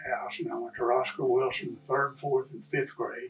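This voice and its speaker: Music plays in the background as a man speaks in a West Texas accent. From Lubbock, Texas. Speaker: longtime local resident. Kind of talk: oral history interview answer.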